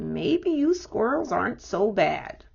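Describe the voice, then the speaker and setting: A woman uses a put-on character voice, high-pitched and raspy. She talks at a fairly slow pace. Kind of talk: bedtime story. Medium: read story.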